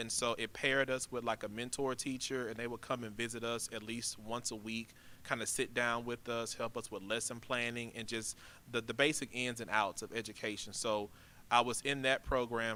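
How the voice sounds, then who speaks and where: At a moderate pace, a man speaks in a bright, sharp tone with monotone, flat intonation. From Louisiana, Baton Rouge. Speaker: high school principal. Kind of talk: interview. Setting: school auditorium. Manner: calm, even-toned; soft-spoken, not loud.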